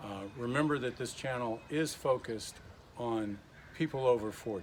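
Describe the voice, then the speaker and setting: A man with an American accent and a plain, everyday voice, at a medium pitch and moderate pace, with ordinary pitch variation. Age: 60s. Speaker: retired Marine, fitness instructor. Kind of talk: casual workout tutorial to camera. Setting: home garage gym.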